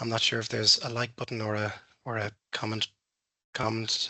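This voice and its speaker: A man speaks with an Irish accent at a medium pitch. His pace is fairly quick. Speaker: recruiter. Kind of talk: workshop presentation. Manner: fast.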